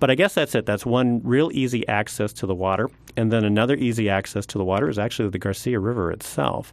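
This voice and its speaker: A man's fairly low voice at a very fast pace with hardly any pauses and ordinary pitch variation. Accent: American. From Oregon. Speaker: public lands manager. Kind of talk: radio interview. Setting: radio studio.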